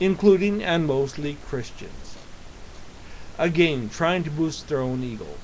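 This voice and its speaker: Intonation bounces lively as the man talks. Behind him, background noise is noticeable. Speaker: atheist vlogger. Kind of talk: reading aloud. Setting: in front of a camera. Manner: halting.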